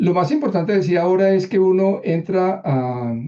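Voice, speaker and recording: A man's voice with a dark, mellow tone. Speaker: copy editor giving a workshop. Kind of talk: online workshop presentation. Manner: fast; halting with many repetitions.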